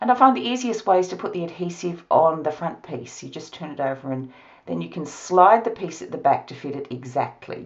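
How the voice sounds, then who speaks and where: A woman with an Australian accent speaks at a fairly quick pace with hardly any pauses. Her pitch swings very widely and her loudness rises and falls in big swings. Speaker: card-making crafter. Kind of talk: tutorial.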